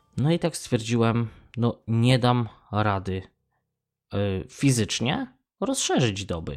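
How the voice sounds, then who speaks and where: A man talks at a very slow pace, and the recording is very clean with a silent background. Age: 30s. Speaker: podcaster. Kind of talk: casual monologue.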